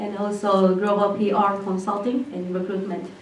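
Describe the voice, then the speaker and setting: A woman speaks with a Japanese accent at a medium pitch and a fairly slow pace. There is audible room echo and noticeable background noise. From Japan, Hyogo Prefecture (Nishinomiya). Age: 20s. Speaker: entrepreneur. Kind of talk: presentation. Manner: hesitant, many fillers.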